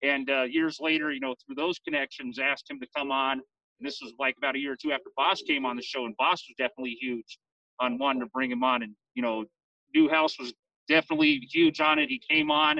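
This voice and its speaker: This man has a plain, everyday voice. He speaks at a fairly quick pace with a fairly high pitch. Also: fairly even intonation. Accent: American. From San Leandro, California. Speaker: fan radio co-host, Marine veteran. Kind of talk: casual chat. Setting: outdoors.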